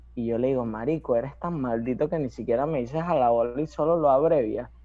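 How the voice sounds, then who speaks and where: Speaking at a fairly quick pace with a Venezuelan accent, a man uses ordinary pitch variation. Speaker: rapper. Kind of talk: casual chat.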